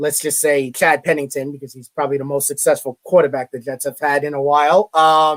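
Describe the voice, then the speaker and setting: A man with a Brooklyn accent, fairly high in pitch, flat and monotone, in a dry, close sound with no echo. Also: fairly quick pace, hardly any pauses. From New York, Brooklyn. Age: 30s. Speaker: college media relations director. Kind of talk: interview.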